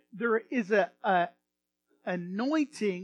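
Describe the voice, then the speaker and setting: With a Texan accent, a man talks at a high pitch with ordinary pitch variation, the sound dry and close with no echo. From Texas, American. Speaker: pastor giving a sermon. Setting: church sanctuary. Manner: warm, enthusiastic, conversational.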